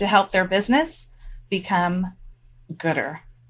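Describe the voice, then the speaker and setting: A woman speaks at a moderate pace in an unremarkable speaking voice. Her pitch is medium and her intonation lively. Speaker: podcast host. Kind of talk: podcast intro read.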